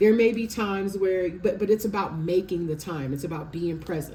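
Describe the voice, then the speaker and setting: A woman at medium pitch, animated in tone and talking very fast. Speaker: tarot reader. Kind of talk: tarot reading.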